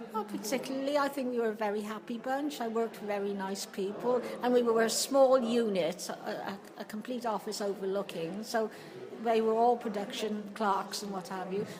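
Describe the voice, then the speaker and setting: A woman talks at a moderate pace in a fairly high voice with fairly even intonation. Noticeable background noise is present. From England, Hereford. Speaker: retired factory office worker. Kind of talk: oral history interview.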